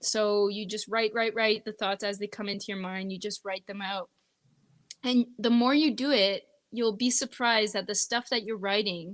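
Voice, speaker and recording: Against a quiet background, a woman with a slight French Canadian accent speaks in a fairly high pitch with fairly even intonation. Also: moderate pace. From northeastern Ontario, Canada. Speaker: singer-songwriter. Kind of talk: interview conversation.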